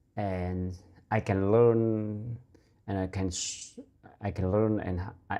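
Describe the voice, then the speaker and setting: Against a quiet background, a man with a Vietnamese accent talks very slowly in a dark, mellow tone at a fairly low pitch. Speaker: English learner vlogger. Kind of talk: casual monologue. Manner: halting. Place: home room. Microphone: lapel.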